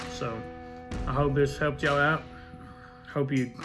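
A man at a moderate pace with clear music in the background. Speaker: homestead cooking vlogger. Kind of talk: casual vlog chat. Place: kitchen. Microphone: phone near.

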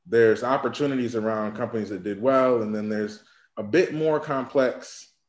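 Audible room echo surrounds a man who speaks at a fairly quick pace with ordinary pitch variation. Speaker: guest. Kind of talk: interview answer. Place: home room. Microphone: webcam.

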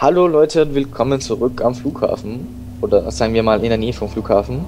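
A man talks fairly quickly. Background music plays throughout. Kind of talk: let's play gaming commentary. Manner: casual, joking.

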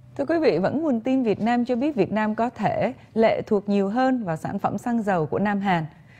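A woman with a dark, mellow tone, somewhat breathy, speaks at a moderate pace with lively intonation and hardly any pauses. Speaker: news anchor. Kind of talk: news reading. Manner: formal. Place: studio. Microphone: lapel.

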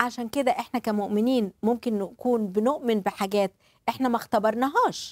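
A woman with an Egyptian accent speaks at a moderate pace and a fairly high pitch, with ordinary pitch variation, in a dry sound with no echo against a quiet background. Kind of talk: religious talk show with live interpretation. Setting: studio. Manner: animated. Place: studio. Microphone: lapel.

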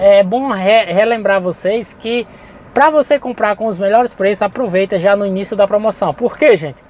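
In a dry sound with no echo, a high-pitched man talks at a moderate pace with ordinary pitch variation. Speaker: channel host and import reseller. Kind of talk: sales pitch, urgent promo patter pushing launch deals and coupons. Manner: informal, improvised, chatty, with frequent 'gente' and 'galera'. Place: car.

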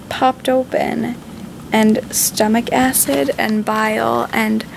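A woman is speaking. There is light noise in the background. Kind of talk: casual vlog chat. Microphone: phone near.

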